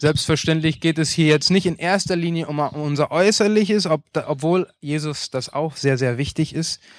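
Speaking at a moderate pace, a man with a fairly high pitch uses ordinary pitch variation in a dry, close sound with no echo. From Paraguay, Asunción. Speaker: pastor. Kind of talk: sermon.

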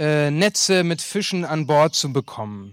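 A man with ordinary pitch variation, dry and close with no echo, on a very clean recording with a silent background. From Paraguay, Asunción. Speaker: pastor. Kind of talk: sermon.

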